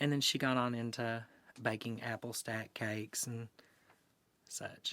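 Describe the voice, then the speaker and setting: Speaking in an Appalachian accent, a man uses a monotone, flat intonation at a fairly slow pace, with a medium pitch and a bright, sharp tone. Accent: Appalachian Southern American. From Eastern Kentucky, Appalachia. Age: 20s. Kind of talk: oral history interview answer.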